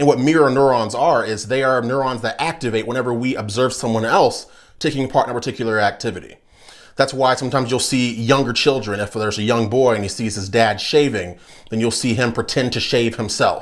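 A man with fairly even intonation at a fairly quick pace, against a quiet background. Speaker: political commentator. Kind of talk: commentary.

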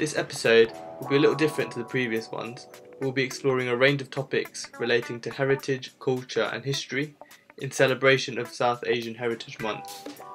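Over music in the background, a man talks fairly quickly at a medium pitch with fairly even intonation. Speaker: podcast host; university student. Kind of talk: casual podcast conversation.

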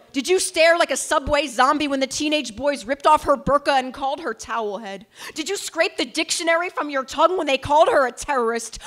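A woman speaks at a fairly quick pace in a high voice. Her intonation is lively. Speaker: slam poet. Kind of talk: spoken word poetry performance. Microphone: handheld.

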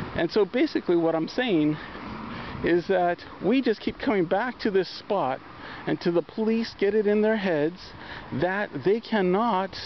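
Long, frequent pauses in a dry sound with no echo, over light background noise. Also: moderate pace. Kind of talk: casual vlog chat. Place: street. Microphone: phone near.

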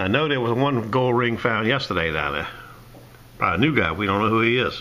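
Noticeable background noise and audible room echo surround a man talking at a fairly quick pace, medium in pitch with lively intonation. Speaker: metal detecting vlogger. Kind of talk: casual vlog update.

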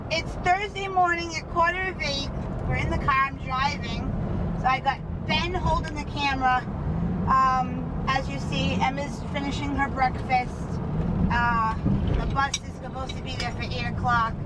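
Someone talks at a moderate pace over loud background noise. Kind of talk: casual vlog chat. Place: car. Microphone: camera far.

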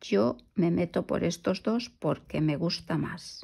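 A woman's vocal fry at a very slow pace. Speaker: crochet youtuber. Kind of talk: tutorial.

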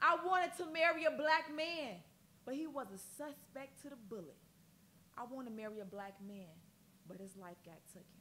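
Her voice raised and projected, a woman speaks at a moderate pace with very wide pitch swings and long, frequent pauses over light background noise. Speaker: spoken word poet. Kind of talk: poetry performance. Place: studio.

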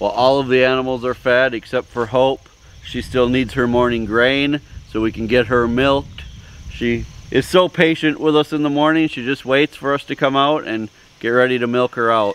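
A man talks at a moderate pace with fairly even intonation, the sound dry with no echo. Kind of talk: tutorial.

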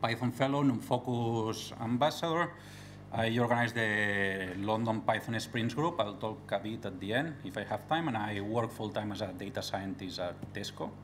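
Light background noise beneath ordinary pitch variation. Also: man, moderate pace. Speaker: conference speaker. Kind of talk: technical talk. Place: hall. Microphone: podium.

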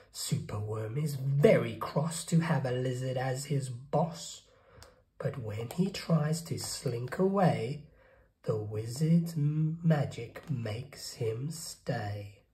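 With audible room echo, the voice moves at a slow pace, dark and mellow in tone, its intonation lively. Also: man, medium pitch for a man.

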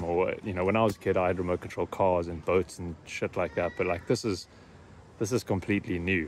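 A man's very deep, low voice at a fairly quick pace over light background noise. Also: dry sound with no echo. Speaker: drone hobbyist vlogger. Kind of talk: casual vlog chat. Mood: happy, upbeat. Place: open country. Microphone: phone near.

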